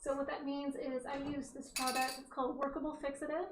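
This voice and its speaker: The speaker is loud and talks at a moderate pace, with audible room echo. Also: woman. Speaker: artist teaching oil painting. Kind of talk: painting tutorial. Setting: home studio, wearing headphones with music. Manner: casual, chatty.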